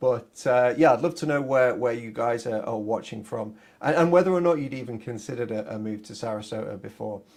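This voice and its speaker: In a Yorkshire accent, a man talks at a fairly quick pace. He leaves hardly any pauses. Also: medium pitch for a man, ordinary pitch variation, big swings in loudness. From Yorkshire, northern England. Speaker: realtor. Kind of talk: live stream talk. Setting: live stream. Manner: halting, many fillers.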